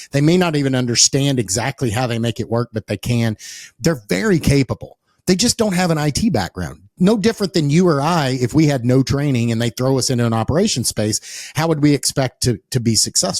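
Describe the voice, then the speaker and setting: Over a silent background in a very clean recording, a man with an East Texas accent talks fairly quickly at a medium pitch with lively intonation. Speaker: podcast host. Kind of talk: casual interview conversation. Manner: repetitive, restarting phrases.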